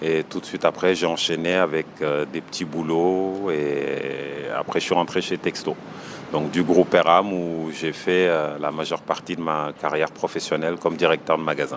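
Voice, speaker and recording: A man's very deep, low voice, monotone and flat in intonation, at a moderate pace amid noticeable background noise. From Senegal. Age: 30s. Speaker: small business owner. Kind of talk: interview. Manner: hesitant, many fillers.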